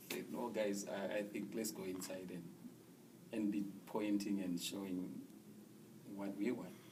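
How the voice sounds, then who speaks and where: Speaking slowly-ish with long, frequent pauses, a man with an American accent uses a fairly low, monotone, flat voice amid audible room echo and noticeable background noise. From Zimbabwe. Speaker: refugee resettled in the US. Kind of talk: interview testimony.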